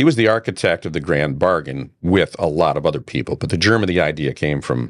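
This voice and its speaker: Very deep and low with vocal fry, a man with an American accent talks at a fairly quick pace with lively intonation. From Detroit. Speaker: broadcaster. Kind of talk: interview answer.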